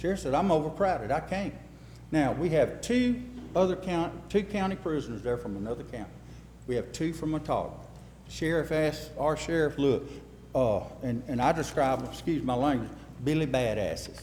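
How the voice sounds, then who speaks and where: A man with an Alabama accent, fairly high-pitched, lively in intonation, at a moderate pace with long, frequent pauses and audible room echo. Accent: Southern US (Alabama). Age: 60s. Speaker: local official at a town meeting. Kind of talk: public meeting talk. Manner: casual, folksy.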